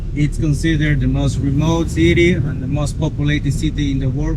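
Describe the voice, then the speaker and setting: A man's moderate-paced speech is heard with noticeable background noise underneath. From Peruvian Amazon, Iquitos region. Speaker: jungle tour guide. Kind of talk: casual chat.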